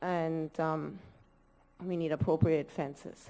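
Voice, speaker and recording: A woman's fairly low pitch and dark, mellow tone at a fairly slow pace, with monotone, flat intonation. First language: not English. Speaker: parent speaking at public meeting. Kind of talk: public comment. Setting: school board meeting.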